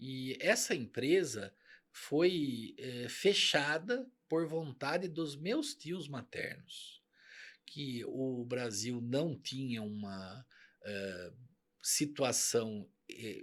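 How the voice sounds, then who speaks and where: A man's fairly high voice at a very slow pace, with lively intonation and big swings in loudness, on a very clean recording with a silent background. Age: 50s. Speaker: company CEO. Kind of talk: interview.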